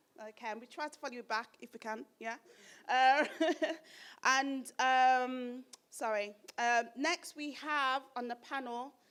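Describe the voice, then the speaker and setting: A woman with a Birmingham accent, high-pitched and animated, at a fairly slow pace with big swings in loudness and long, frequent pauses, on a very clean recording with a silent background. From Birmingham, England. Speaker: event presenter. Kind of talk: live event introduction. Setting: stage with audience.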